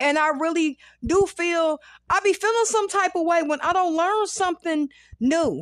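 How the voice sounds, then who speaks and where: A woman's extremely high pitch with ordinary pitch variation, very even loudness and a moderate pace, in a dry, close sound with no echo. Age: 40s. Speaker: podcast host and comedian. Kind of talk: casual monologue.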